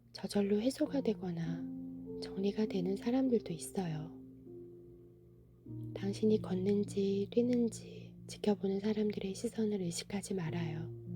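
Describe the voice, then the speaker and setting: A calm woman at a very slow pace, long and frequent pauses, music playing in the background. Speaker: book reader (audiobook narrator). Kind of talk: soothing bedtime book reading, essay narration. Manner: soft, calm, slow.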